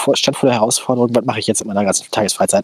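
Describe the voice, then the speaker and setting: The man sounds dry and close, without any echo. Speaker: podcast co-host. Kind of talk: casual chat. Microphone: old headphones with a cheap headset mic.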